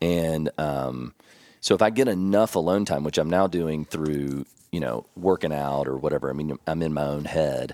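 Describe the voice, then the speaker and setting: In a Kentucky accent, a man speaks at a very deep, low pitch with a dark, mellow tone, ordinary pitch variation and a moderate pace. The recording is very clean, with a silent background and a dry, close sound with no echo. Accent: Kentucky Southern US. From Kentucky (Elizabethtown). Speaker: financial advisor. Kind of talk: casual interview.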